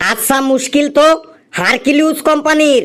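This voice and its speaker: In a cartoonish character voice pitched extremely high, a man speaks at a moderate pace. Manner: bossy, easily flustered.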